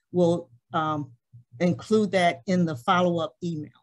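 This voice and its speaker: With a normal speaking voice, a woman talks at a fairly slow pace and a fairly low pitch, with ordinary pitch variation. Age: 60s. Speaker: community meeting moderator. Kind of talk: hybrid community forum moderation. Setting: meeting room with audience and Zoom.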